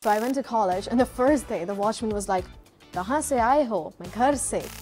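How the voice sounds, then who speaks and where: With music in the background, a woman talks at a fairly quick pace with ordinary pitch variation. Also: fairly high pitch for a woman. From India. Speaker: English and accent trainer. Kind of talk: interview answer.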